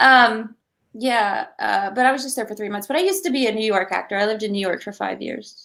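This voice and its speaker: Speaking very fast, a woman uses a fairly high voice with a bright, sharp tone and ordinary pitch variation. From Georgia (US), born in England. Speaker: actress. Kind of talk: casual interview. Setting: video call.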